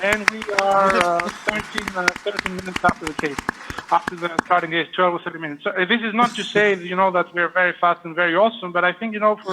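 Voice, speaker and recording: This man talks at a very fast pace with high pitch and monotone, flat intonation. Noticeable background noise sits behind him. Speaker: vascular surgeon. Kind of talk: live case commentary. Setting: live video link from operating room. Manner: hesitant, many fillers.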